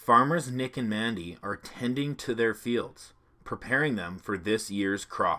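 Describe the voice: Ordinary pitch variation in plain reading aloud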